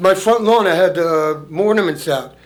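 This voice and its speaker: A high-pitched male voice at a moderate pace, with audible room echo. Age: 70s. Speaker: resident speaking at public comment. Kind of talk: public comment at town meeting. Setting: town council meeting room. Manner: halting.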